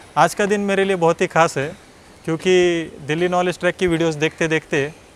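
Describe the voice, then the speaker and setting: A man's moderate-paced speech comes through with noticeable noise in the background. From Maharashtra, India (Nashik district village). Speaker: civil service exam topper. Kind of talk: personal success story talk.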